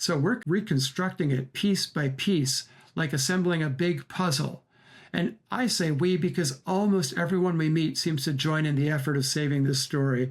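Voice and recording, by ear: A man speaks at a fairly high pitch. His pace is moderate. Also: ordinary pitch variation.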